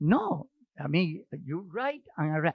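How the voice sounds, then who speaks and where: A man speaks with a Spanish accent. His pitch swings very widely. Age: 80s+. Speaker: actor. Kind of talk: casual chat.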